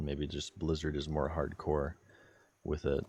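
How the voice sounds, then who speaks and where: Over music in the background, a man with a very deep, low voice speaks at a moderate pace. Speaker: streamer. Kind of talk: casual live stream chat.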